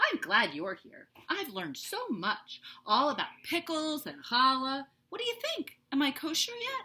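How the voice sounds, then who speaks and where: The woman puts on a character voice pitched high. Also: moderate pace. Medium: read story.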